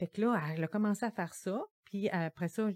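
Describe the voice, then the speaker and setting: A woman with a plain, everyday voice, ordinary pitch variation and a moderate pace, in a dry, close sound with no echo. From Gaspésie, Quebec. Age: 50s. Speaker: social worker. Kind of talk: podcast interview.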